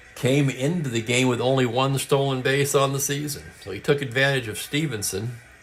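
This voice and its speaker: A man at medium pitch, talking at a fairly quick pace with hardly any pauses and fairly even intonation, over noticeable background noise. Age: 60s. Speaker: tabletop baseball game streamer. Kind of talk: live play-by-play commentary of a tabletop baseball game; casual chat with live stream viewers.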